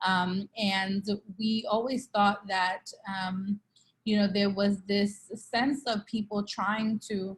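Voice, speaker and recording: Her medium-pitched voice stays monotone and flat as the woman speaks at a very slow pace. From Brooklyn, New York (East New York). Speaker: nonprofit CEO and co-founder. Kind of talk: interview.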